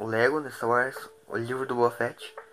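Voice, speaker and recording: This man's medium-pitched voice comes with noticeable background noise. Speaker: YouTuber podcast host. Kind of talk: recorded announcement; casual chat.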